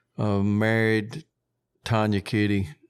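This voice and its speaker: On a very clean recording with a silent background, a man with a Southern US accent speaks at fairly low pitch. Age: 60s. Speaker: termite business owner and coon hunter. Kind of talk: interview.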